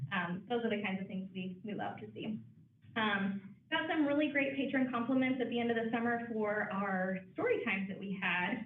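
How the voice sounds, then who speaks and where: Audible room echo surrounds a woman speaking in an American accent at a fairly quick pace. Her fairly high pitch shows ordinary variation. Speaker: branch manager of a library. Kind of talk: board meeting report. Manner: fast.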